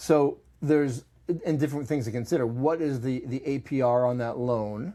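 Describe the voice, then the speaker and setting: With an American accent, a man speaks at medium pitch and a moderate pace, his pitch varying in an ordinary way. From Boston. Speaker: financial advisor, podcast host. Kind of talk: casual podcast discussion.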